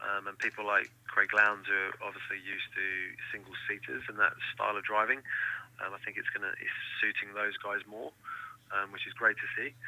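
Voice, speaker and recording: Speaking at a fairly quick pace, a man has an English accent. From England. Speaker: racing driver. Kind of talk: interview. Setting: phone call.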